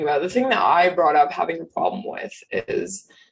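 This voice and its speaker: A woman is speaking. Her pitch is medium. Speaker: podcast co-host. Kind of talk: casual chat.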